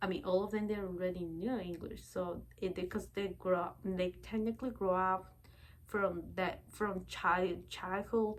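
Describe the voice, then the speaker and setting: This woman talks at a moderate pace, her medium-pitched voice keeping a fairly even intonation. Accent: Spanish. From Bolivia. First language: Spanish. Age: 20s. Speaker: vlogger. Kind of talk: casual personal vlog talk. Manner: halting, many fillers.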